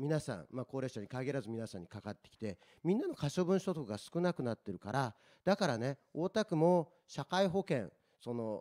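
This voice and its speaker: A man's dark, mellow voice at a fairly high pitch, with very wide pitch swings, big swings in loudness and a moderate pace over a quiet background. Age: 40s. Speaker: local election candidate; election candidate. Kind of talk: political debate. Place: meeting room. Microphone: handheld.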